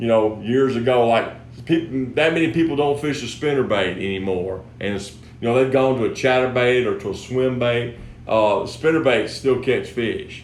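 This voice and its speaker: A man at a moderate pace, with audible room echo. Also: medium pitch for a man, ordinary pitch variation. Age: 60s. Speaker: fishing lure company host. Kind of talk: product tutorial. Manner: casual, repetitive restarts.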